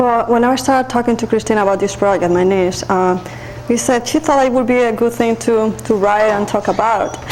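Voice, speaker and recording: A woman with a non-native accent talks at a fairly quick pace in a fairly high voice, her pitch varying in an ordinary way and her loudness very even, over noticeable background noise. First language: Spanish. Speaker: nurse and army veteran. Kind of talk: interview.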